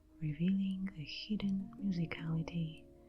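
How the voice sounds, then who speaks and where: A somewhat breathy woman's voice with a dark, mellow tone, ordinary pitch variation and a moderate pace. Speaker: ASMR creator. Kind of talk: scripted narration. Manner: soft-spoken; normal voice, not whispering.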